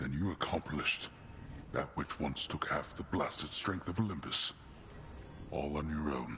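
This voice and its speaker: Using a put-on character voice, a man speaks in a very deep, low register with long, frequent pauses over clear background noise. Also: moderate pace. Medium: video game. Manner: grave, formal, brooding.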